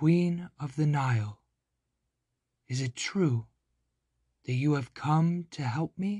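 A man's put-on character voice, fairly high in pitch, at a fairly slow pace with long, frequent pauses. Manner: eerie.

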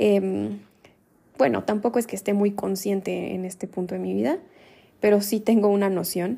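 Long pauses come often, though the speech between them moves at a moderate pace. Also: woman. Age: 20s. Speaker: podcast host. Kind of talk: solo podcast monologue. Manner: casual, conversational.

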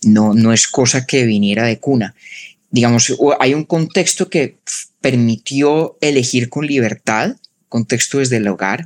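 A man speaks in a Colombian paisa accent. His pace is fairly slow. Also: medium pitch for a man, ordinary pitch variation, dry, close sound with no echo. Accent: Colombian paisa-like, mountain. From Colombia, Bogotá. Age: 30s. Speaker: philosopher and podcaster. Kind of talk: interview conversation.

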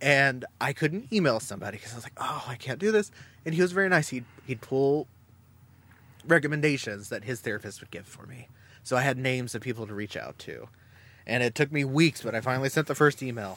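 A man speaks in a normal speaking voice with lively intonation and big swings in loudness. The recording is very clean with a silent background. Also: medium pitch for a man, fairly quick pace. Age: 30s. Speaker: podcast host, guest on another show. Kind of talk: casual chat.

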